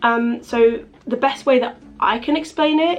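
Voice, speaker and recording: An English accent with ordinary pitch variation over noticeable background noise. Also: woman. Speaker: vlogger. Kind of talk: casual chat. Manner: fast.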